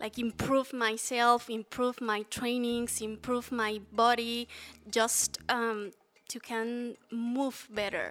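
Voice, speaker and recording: A woman's fairly high voice with a Spanish accent, a very slow pace and monotone, flat intonation. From Mexico City. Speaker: fasting advocate. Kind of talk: interview. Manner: halting.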